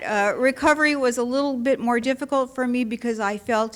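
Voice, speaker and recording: Noticeable noise sits in the background. Over it, a woman speaks at a moderate pace. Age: 70s. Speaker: surgery patient giving a testimonial. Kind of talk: testimony. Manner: animated.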